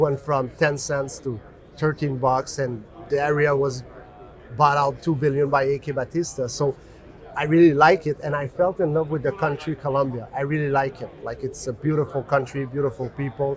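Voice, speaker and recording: A man with a French accent, fairly high in pitch, at a moderate pace with fairly even intonation. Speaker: mining company executive. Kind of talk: interview. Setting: conference.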